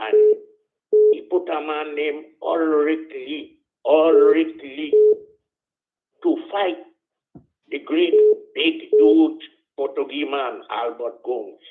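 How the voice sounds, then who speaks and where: Pausing long and often, a man speaks at a very slow pace. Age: 80s+. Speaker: caller. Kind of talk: casual chat.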